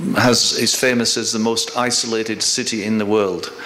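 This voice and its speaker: Delivered at a moderate pace, the speech carries noticeable background noise and audible room echo. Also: man. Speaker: drug policy researcher. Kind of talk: lecture. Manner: halting, many fillers.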